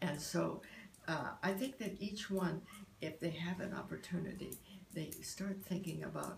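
A woman's fairly low voice at a fairly slow pace, with ordinary pitch variation and noticeable background noise. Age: 80s+. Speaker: artist, poet and meditation practitioner. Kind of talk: interview answer. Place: home room. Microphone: phone near.

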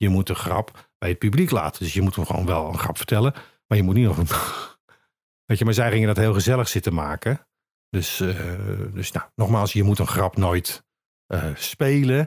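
A man speaks at a moderate pace in a fairly low, somewhat breathy voice with ordinary pitch variation. The recording is very clean and dry, close with no echo and a silent background. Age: 60s. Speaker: actor. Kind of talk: casual chat. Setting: studio.

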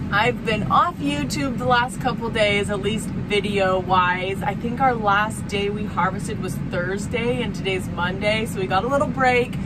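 A woman at a moderate pace, hardly any pauses, music in the background. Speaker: farmer vlogger. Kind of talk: casual vlog chat. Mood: cheerful, chatty. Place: farm machine. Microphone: phone near.

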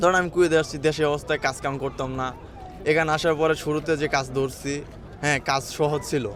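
A fairly high-pitched man speaks with monotone, flat intonation. There is noticeable background noise. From Bangladesh, Tangail. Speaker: migrant worker, cleaner. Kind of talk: interview.

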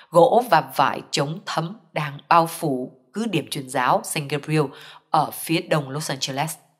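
A woman speaks at a fairly slow pace with a very deep, low pitch. Her intonation is lively. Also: very clean recording, silent background. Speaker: news reader. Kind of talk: news reading.

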